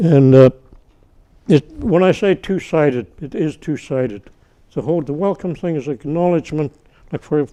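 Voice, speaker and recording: With a dark, mellow tone, a man talks at a moderate pace using ordinary pitch variation. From Northern British Columbia, Canada (First Nations community). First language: Tsimshian. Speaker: First Nations elder. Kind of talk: talk to an audience. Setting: university event with audience. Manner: halting, many restarts.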